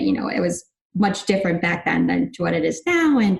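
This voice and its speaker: At a fairly quick pace, a woman speaks with a Chicago accent. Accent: US Midwest (Chicago area). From northern Illinois suburbs. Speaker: sports team director. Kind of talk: casual interview. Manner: animated.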